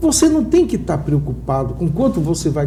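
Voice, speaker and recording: A man talks at an even, medium speed, with clear background noise and a noticeable echo from the room. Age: 60s. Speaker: entrepreneur. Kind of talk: TV interview.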